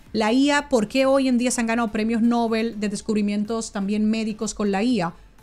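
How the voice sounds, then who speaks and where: Faint music plays behind a woman speaking in a Dominican accent with an animated tone. Her fairly high voice moves at a fairly quick pace with hardly any pauses. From Dominican Republic. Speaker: author and businesswoman; interview guest. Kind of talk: interview. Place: studio. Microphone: studio mic.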